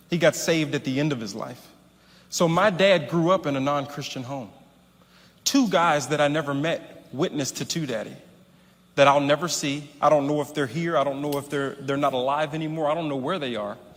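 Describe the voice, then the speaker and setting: In a plain, everyday voice, a man speaks at a fairly quick pace and fairly high pitch with ordinary pitch variation, on a very clean recording with a silent background. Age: 30s. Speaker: preacher, son of a famous pastor. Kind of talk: sermon.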